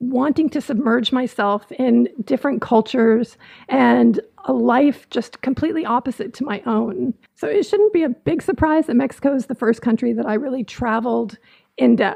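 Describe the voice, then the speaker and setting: Here is a woman with an American accent. Her pitch is high, and her intonation is lively. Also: moderate pace. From Southern California. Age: 40s. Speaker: podcast host. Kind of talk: casual podcast monologue.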